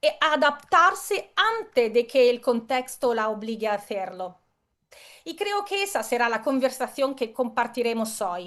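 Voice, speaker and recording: Very wide pitch swings at a fairly slow pace. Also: woman, high pitch for a woman. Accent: Italian. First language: Italian (speaking Spanish). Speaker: keynote speaker. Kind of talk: conference talk. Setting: video call.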